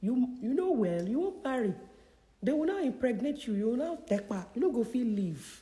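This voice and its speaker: A woman speaks at a moderate pace in an animated tone. Her pitch is high, with very wide swings. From Nigeria. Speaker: career consultant. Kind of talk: live Q&A session. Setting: livestream.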